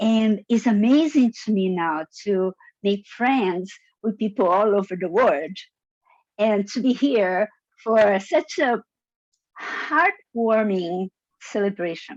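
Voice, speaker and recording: A woman with a non-native accent at a very slow pace, fairly high in pitch, with ordinary pitch variation and long, frequent pauses. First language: not English. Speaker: toastmasters member. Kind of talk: impromptu speech. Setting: zoom meeting.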